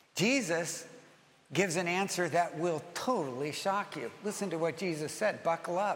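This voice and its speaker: Audible room echo follows a man with a high pitch as he speaks at a fairly slow pace. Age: 60s. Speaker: pastor. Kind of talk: sermon. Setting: church.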